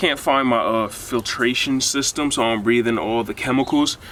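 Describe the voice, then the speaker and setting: A man's voice with ordinary pitch variation, against noticeable background noise. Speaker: sneaker customizer YouTuber. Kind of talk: DIY tutorial. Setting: outdoors. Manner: casual.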